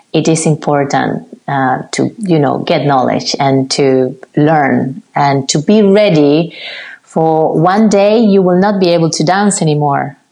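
With a Spanish accent, a woman speaks fairly slowly at a very deep, low pitch, with ordinary pitch variation and very even loudness. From Cuba. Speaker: ballet dancer. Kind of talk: interview. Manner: halting.

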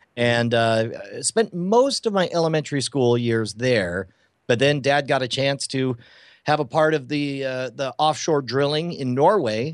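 A man with an American accent and an unremarkable speaking voice, medium in pitch, at a moderate pace with ordinary pitch variation against a quiet background. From Texas (Houston, West Texas). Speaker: magician and comedian. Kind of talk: interview.

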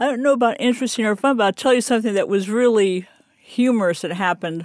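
A woman with an American accent, fairly high pitch, lively intonation and a very fast pace. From US military family, raised partly in Germany and Panama. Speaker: retiree and traveler. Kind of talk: interview.

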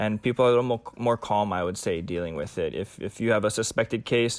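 This man has an unremarkable speaking voice, a fairly low pitch and an American accent, talking at a fairly quick pace on a very clean recording with a silent background. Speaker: paramedic. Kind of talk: casual chat.

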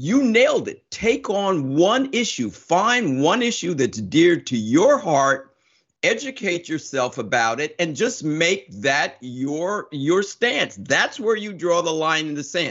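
A man talks at a very slow pace with hardly any pauses. His high-pitched voice swings very widely in pitch. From New Jersey. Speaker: podcast host. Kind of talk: scripted narration; interview.

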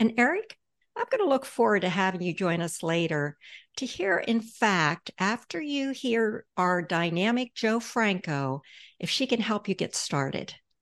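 A woman has a normal speaking voice at a medium pitch. She talks at a fairly slow pace with lively intonation against a quiet background. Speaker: podcast host, financial advisor. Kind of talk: casual interview.

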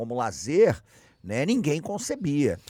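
Speaking very slowly, a man uses a Carioca accent with lively intonation. The recording is very clean, with a silent background. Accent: carioca Brazilian Portuguese. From Rio de Janeiro, Brazil. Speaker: podcast co-host, historian. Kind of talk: casual chat.

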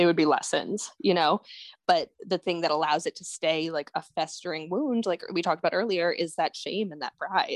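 A woman's plain, everyday voice at a fairly low pitch and moderate pace, with ordinary pitch variation and a dry, close sound with no echo. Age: 20s. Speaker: spoken word poet and author. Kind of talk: casual interview.

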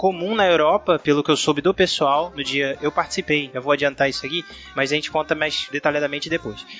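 This man's voice sits fairly high, with ordinary pitch variation and noticeable background noise behind it. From Rio de Janeiro, Brazil. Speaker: cyclist. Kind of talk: casual chat.

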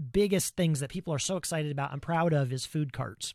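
A man with an American accent and an unremarkable speaking voice, fairly quick pace, ordinary pitch variation, in a very clean recording with a silent background and a dry, close sound with no echo. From US Midwest, Ohio. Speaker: podcast host. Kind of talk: interview conversation.

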